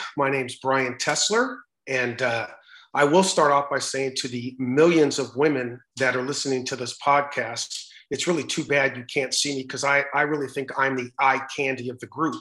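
Against a quiet background, a man with an American accent and a bright, sharp tone speaks at a medium pitch and moderate pace with fairly even intonation. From US West Coast, Los Angeles San Fernando Valley. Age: 60s. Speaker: sports podcast co-host. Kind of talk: casual podcast introduction.

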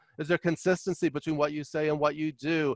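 In a New York accent, a man talks at a fairly quick pace with a fairly high pitch and monotone, flat intonation. The sound is dry and close, with no echo. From New York (Queens, Long Island). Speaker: leadership consultant and author. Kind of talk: interview. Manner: loud and fast.

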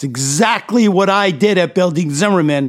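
Speaking with a New Jersey accent, a man uses lively intonation and an animated tone at a fairly slow pace. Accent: New Jersey American. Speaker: podcast host, entrepreneur. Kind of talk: motivational monologue.

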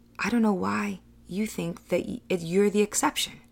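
Recorded very cleanly against a silent background, a woman speaks at a medium pitch with ordinary pitch variation and a warm, animated tone. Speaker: life coach and podcast host. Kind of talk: pep talk, motivational coaching monologue. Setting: solo podcast recording. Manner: warm, encouraging, direct address; animated, upbeat.

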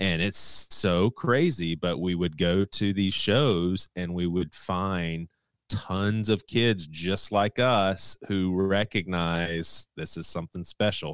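In a very clean recording with a silent background, a man with an American accent talks at a very slow pace with hardly any pauses, his very deep, low pitch carrying fairly even intonation in a dry, close sound with no echo. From US South, Charleston, South Carolina. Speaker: pastor and podcaster. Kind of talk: casual interview conversation.

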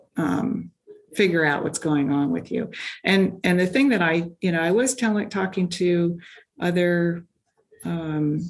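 Ordinary pitch variation marks this speech, which goes at a fairly slow pace. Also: woman. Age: 60s. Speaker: amateur track cyclist and engineer. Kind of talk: interview.

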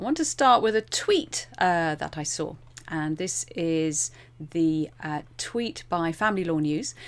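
In a very clean recording with a silent background, a woman with a normal speaking voice talks at a fairly slow pace, her fairly low pitch varying in an ordinary way. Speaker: podcast host. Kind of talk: interview.

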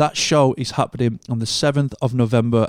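On a very clean recording with a silent background, a man with a British accent and medium pitch talks at a moderate pace with fairly even intonation. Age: 30s. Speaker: podcast host and monitor engineer. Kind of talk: scripted show intro; casual interview chat.

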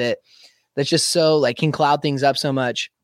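The recording is very clean, with a silent background. A man with a fairly high pitch speaks at a fairly quick pace in a plain, everyday voice. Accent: American. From US Pacific Northwest, Spokane, Washington. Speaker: metal band vocalist. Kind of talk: interview.

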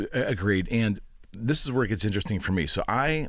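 The voice has vocal fry and lively intonation. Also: man. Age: 50s. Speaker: podcast host and realtor. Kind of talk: casual interview.

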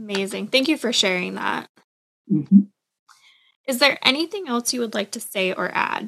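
With vocal fry, a woman speaks, leaving long, frequent pauses. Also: lively intonation, moderate pace. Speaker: podcast host. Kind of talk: interview.

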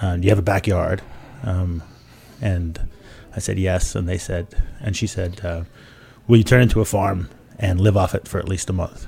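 Speaking at a moderate pace with long, frequent pauses, a man with a very deep, low pitch has a dark, mellow, somewhat breathy tone and fairly even intonation. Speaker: author. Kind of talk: casual chat. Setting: studio. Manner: jokey.

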